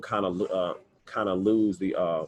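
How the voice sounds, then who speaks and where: The speaker is a man with an American accent. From Missouri, Kansas City. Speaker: writer and speaker, panelist. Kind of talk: panel discussion. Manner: halting, many repetitions.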